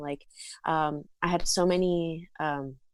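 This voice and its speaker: A woman with an American accent speaks at a fairly low pitch in a monotone, flat intonation. The recording is very clean, with a silent background. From South Florida. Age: 20s. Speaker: content creator and musician. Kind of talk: casual chat. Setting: podcast interview.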